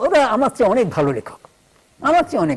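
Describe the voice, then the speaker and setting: A man's voice over noticeable background noise. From West Bengal, India (rural, near Kolkata). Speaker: novelist. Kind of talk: TV interview.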